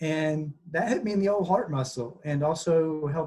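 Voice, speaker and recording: The voice is somewhat breathy, with a Southern US accent. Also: man. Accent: Southern drawl. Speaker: environmental website co-founder, former journalist. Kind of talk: online presentation. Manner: fast when excited; animated.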